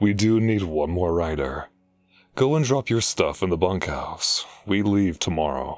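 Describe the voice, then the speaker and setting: In a very clean recording with a silent background, a man does a put-on character voice. It sits very deep and low, with lively intonation at a moderate pace. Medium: audio drama. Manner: curt, authoritative.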